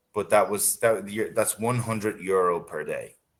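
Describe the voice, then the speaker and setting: The speaker has an Irish accent. The pace is moderate. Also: man. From Ireland. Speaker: English tutor. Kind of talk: casual chat.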